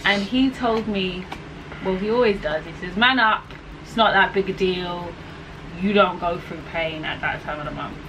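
Amid noticeable background noise, a woman speaks at a moderate pace and medium pitch with ordinary pitch variation and big swings in loudness. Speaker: vlogger. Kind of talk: casual talk to camera. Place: home room. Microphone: camera far.

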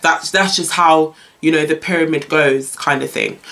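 A woman with a low pitch and a fairly bright tone speaks at a moderate pace.

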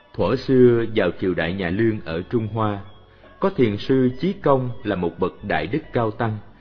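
Over music in the background, a man with a fairly low pitch talks at a very slow pace with lively intonation. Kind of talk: Buddhist story and dharma talk narration.

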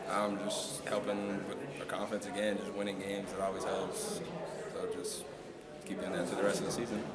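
A man speaks at a fairly quick pace. Loud background noise is present. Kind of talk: interview answer. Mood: calm, pleased after win. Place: hall.

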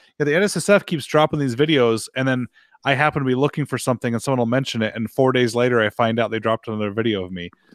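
Speaking at a very fast pace, a man uses lively intonation at a medium pitch. The sound is dry with no echo, over a quiet background. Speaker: firearms show host and rifle builder; firearms show host. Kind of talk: live video call show chat. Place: studio. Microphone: studio mic.

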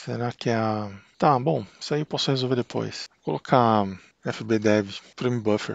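With a Brazilian accent, the speaker talks at a fairly slow pace with ordinary pitch variation, the sound dry and close with no echo. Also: man, medium pitch for a man. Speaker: tech YouTuber. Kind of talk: tutorial. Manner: casual, hesitant with repetitions.

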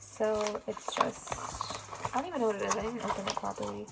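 There is loud background noise behind a woman's voice. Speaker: vlogger. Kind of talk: casual vlog chat. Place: home room. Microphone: phone near.

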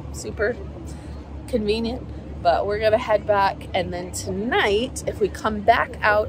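Over crowd noise in the background, a woman speaks at a fairly slow pace in a dry sound with no echo. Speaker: travel vlogger. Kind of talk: casual vlog chat. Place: waterside. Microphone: phone near.

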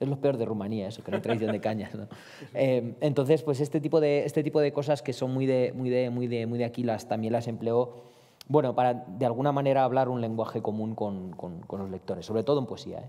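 The background is quiet as a man talks with ordinary pitch variation. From Romania. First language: Romanian (speaking Spanish). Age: 30s. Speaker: poet and novelist; poet. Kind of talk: panel discussion. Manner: halting, many fillers and repetitions. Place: hall. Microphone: headset.

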